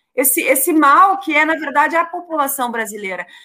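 On a very clean recording with a silent background, a woman projects a raised voice with a bright, sharp tone. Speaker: state legislator. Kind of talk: casual political chat.

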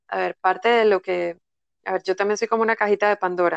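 With a dry, close sound and no echo, a woman speaks at medium pitch in a monotone, flat intonation. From Panama. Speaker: energy therapist. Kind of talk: casual interview. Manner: calm, soothing.

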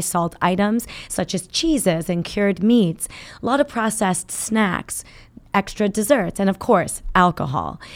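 Her tone calm, a woman speaks at a moderate pace with a medium pitch and lively intonation. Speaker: cardiologist. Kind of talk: interview.

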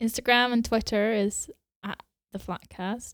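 A woman talks in an animated tone at a fairly slow pace with ordinary pitch variation, the sound dry and close with no echo. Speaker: podcast co-host. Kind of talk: casual chat. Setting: home. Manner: animated, laughs often.

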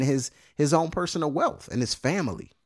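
Fairly high in pitch, a man's voice shows ordinary pitch variation. The very clean recording has a silent background and a dry, close sound with no echo. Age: 30s. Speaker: podcast host. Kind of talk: casual monologue. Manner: halting, many fillers and repeated words.

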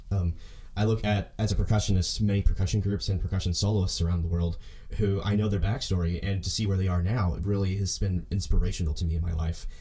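A man with an Oklahoma accent speaks at a very fast pace in a fairly low, somewhat breathy voice, his tone dark and mellow and his intonation fairly even. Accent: Oklahoma American English. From US South, Oklahoma. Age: 20s. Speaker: podcast host, percussion student. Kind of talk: solo podcast monologue. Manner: fast talker.

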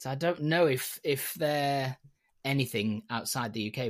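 A man speaks at a moderate pace with a Yorkshire accent, his pitch medium with ordinary variation. The recording is very clean, with a silent background. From Yorkshire, northern England. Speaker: hat maker. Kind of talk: casual chat.

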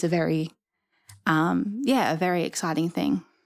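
A woman speaks with an Australian accent and vocal fry, her pitch fairly low and her pace moderate. The recording is very clean, with a silent background. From Rockhampton, central Queensland, Australia. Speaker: museum trainee. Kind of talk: casual interview.

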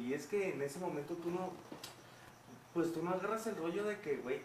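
A man with a Mexican accent speaks at a moderate pace with ordinary pitch variation. Noticeable background noise and audible room echo are present. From Mexico City, with 11 years in Guadalajara. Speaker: singer. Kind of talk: casual chat.

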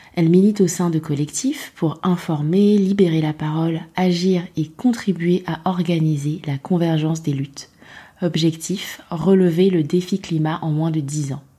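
A woman speaks fairly slowly at a fairly low pitch, somewhat breathy. Her tone is dark and mellow, her intonation fairly even. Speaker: podcast host. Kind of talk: interview; scripted narration.

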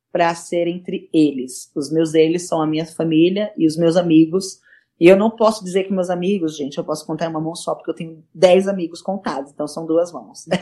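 A woman with a dark, mellow tone and fairly low pitch speaks at a moderate pace with fairly even intonation and big swings in loudness. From São Paulo city, Brazil. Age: 20s. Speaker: nurse and cancer patient. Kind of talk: interview.

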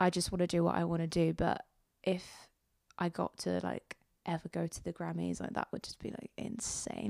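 Speech comes at a fairly quick pace, with a dry, close sound and no echo. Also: woman. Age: 20s. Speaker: singer-songwriter. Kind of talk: interview.

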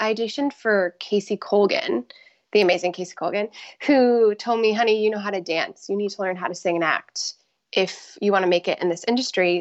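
A woman's normal speaking voice with an American accent, medium in pitch, fairly quick, with ordinary pitch variation. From Florida, Tampa Bay area. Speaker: professional dancer. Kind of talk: interview.

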